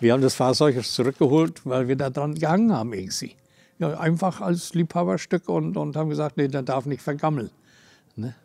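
Moving at a fairly quick pace, a man speaks in a fairly high voice with a dark, mellow tone and lively intonation. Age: 70s. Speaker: retired concrete construction worker. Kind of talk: interview testimony. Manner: halting. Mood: fond, proud reminiscing. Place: garage. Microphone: lapel.

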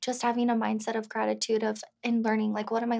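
Over a quiet background, a woman talks at a very fast pace. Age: 20s. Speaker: real estate agent and single mother; interviewee. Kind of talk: interview. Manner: casual, filler-heavy. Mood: open, personal, reflective. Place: studio.

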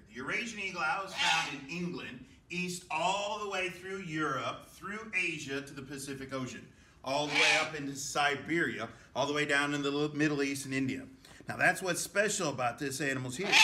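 A man at a moderate pace with ordinary pitch variation, over loud background noise. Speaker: wildlife educator. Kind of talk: educational presentation. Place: hall. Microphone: camera far.

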